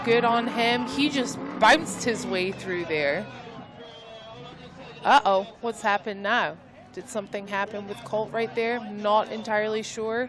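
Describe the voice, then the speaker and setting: Over crowd noise in the background, a woman with a fairly high pitch talks in an animated tone at a fairly slow pace. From Scotland. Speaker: live event commentator. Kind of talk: live commentary. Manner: loud.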